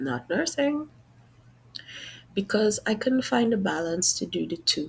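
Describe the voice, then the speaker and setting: A woman speaks with a Trinidadian accent at a medium pitch and fairly slow pace. Her pitch swings very widely, with vocal fry. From Trinidad, Sangre Grande. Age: 40s. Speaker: job applicant. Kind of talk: mock job interview presentation. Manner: formal.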